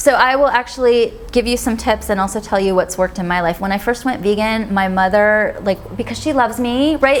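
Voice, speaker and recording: Medium-pitched speech from a woman, with noticeable noise behind it. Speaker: vegan author and speaker. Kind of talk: Q&A after a talk. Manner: fast.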